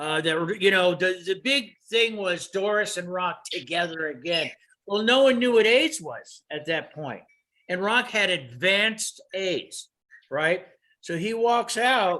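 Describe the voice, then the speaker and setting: A man's raised, projected voice, high in pitch, with an American accent, bright and sharp in tone, lively in intonation and very slow in pace. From Los Angeles, US. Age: 70s. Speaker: retired photographer and computer consultant. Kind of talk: casual interview. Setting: video call.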